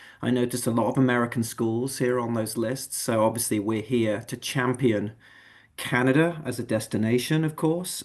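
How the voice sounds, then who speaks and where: Against a quiet background, a man with an English accent speaks at a medium pitch and a fairly quick pace with fairly even intonation. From England. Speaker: admissions manager. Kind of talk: online info session presentation.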